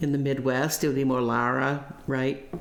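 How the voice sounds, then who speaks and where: In an American accent, a woman speaks fairly slowly with a very deep, low pitch. The room echo is audible. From US South, Tennessee. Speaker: voice teacher, former voice student. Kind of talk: interview recollection.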